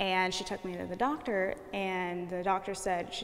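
A woman's medium-pitched voice at a moderate pace, a plain, everyday voice. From Kansas. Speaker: art student. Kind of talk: interview. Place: hall. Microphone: lapel.

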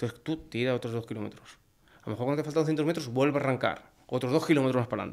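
Over a quiet background, a man at a medium pitch rushes along at a very fast pace with fairly even intonation. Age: 40s. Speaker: hunter; podcast guest. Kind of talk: casual chat. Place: studio. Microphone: studio mic.

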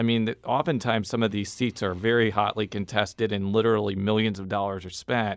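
Fairly quick and with hardly any pauses, a man talks in a plain, everyday voice, fairly low in pitch and with fairly even intonation. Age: 30s. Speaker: radio reporter and podcast host. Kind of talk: interview. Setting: studio.

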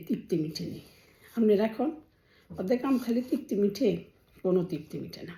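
Somewhat breathy and dark, mellow in tone, a woman speaks at a medium pitch with lively intonation. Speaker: family vlogger. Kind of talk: casual vlog monologue. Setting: bedroom at home. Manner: chatty, conversational.

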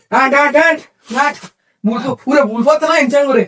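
A put-on character voice from a man, pitched extremely high, at a fairly quick pace. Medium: short film. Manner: rough dialect, repetitive urging.

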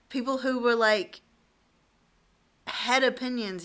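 A woman talks in a bright, sharp tone. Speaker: vlogger, election candidate. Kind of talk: casual vlog chat. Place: home room. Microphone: phone near.

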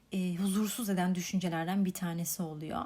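Here is a woman with a dark, mellow tone, somewhat breathy. The recording is very clean with a silent background. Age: 20s. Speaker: podcast host. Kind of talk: solo reflective monologue.

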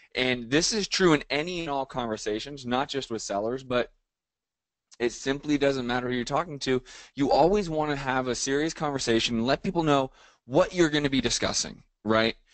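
The man talks at a fairly quick pace with ordinary pitch variation. The background is quiet and the sound is dry with no echo. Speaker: real estate coach. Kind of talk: lecture. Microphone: video call.

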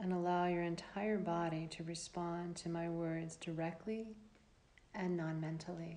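In a calm tone, a woman talks at a fairly slow pace with a fairly low pitch and monotone, flat intonation against noticeable background noise. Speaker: yoga nidra teacher. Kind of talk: guided meditation. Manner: slow, soft-spoken, soothing; calm, with long pauses.

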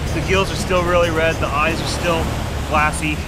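The speech moves at a fairly slow pace. Music plays in the background, and the sound is dry with no echo. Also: man. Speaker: fishing vlogger. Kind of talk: casual vlog chat. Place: beach. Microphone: phone near.

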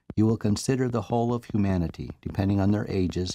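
A man's fairly low voice, a plain, everyday voice with ordinary pitch variation, in a dry, close sound with no echo. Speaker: guided meditation narrator. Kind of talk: guided meditation. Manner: slow, calm, soothing; measured, hypnotic.

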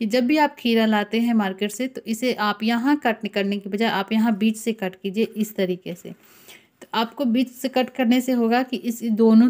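Against a quiet background, a woman talks at a fairly slow pace. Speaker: home cooking tips creator. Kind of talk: tutorial.

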